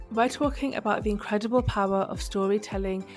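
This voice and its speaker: Music plays behind a woman as she talks. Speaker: podcast host. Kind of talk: podcast intro.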